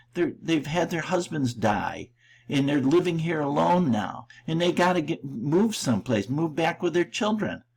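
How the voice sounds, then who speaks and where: On a very clean recording with a silent background, a man with an American accent speaks at a moderate pace with vocal fry. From Rochester, New York. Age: 70s. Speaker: real estate agent. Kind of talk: casual monologue. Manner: unscripted, halting.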